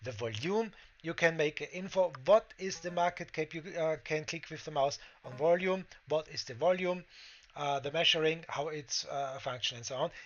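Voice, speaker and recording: A man with a German accent and a fairly high pitch, moderate pace, ordinary pitch variation and big swings in loudness. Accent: German-speaking accent in English. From Austria. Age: 40s. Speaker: crypto trading streamer. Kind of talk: tutorial. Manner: halting, many fillers.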